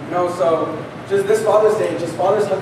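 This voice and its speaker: A man talks over noticeable background noise. There is audible echo from the room. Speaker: speaker. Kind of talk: testimony speech. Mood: earnest, heartfelt. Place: church.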